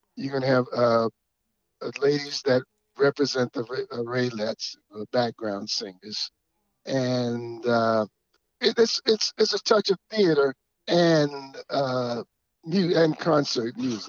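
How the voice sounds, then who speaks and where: Very slowly and with long, frequent pauses, a man with an American accent speaks at medium pitch, his intonation lively. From US South, Georgia. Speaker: musician and stage performer. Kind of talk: casual interview.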